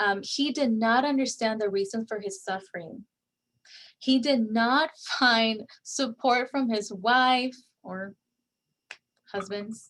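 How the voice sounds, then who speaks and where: Speaking with a Spanish accent, a woman uses a fairly high pitch with ordinary variation. Her pace is very slow, with long, frequent pauses. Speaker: guest speaker on faith and resilience. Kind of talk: online presentation. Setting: online session with chat. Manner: halting, many fillers and repeats.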